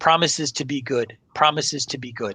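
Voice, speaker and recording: A man puts on a husky character voice at a medium pitch, talking at a fairly quick pace. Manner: whining, pleading.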